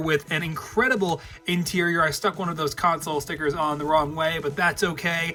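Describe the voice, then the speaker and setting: Very fast speech over music in the background. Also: man. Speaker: YouTuber, LEGO custom builder. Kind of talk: casual vlog.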